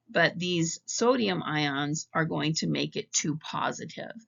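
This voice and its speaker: Very wide pitch swings and vocal fry in a woman's speech. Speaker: psychology professor. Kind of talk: recorded lecture narration.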